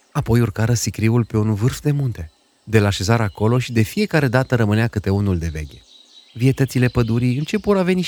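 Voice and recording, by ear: A passage is read aloud in a natural voice.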